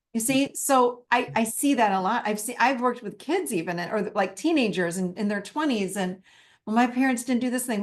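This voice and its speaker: Ordinary pitch variation and a fairly quick pace from a woman with a fairly high voice. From Italian-American family. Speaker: therapist and workshop teacher. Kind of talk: live online masterclass Q&A. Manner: animated.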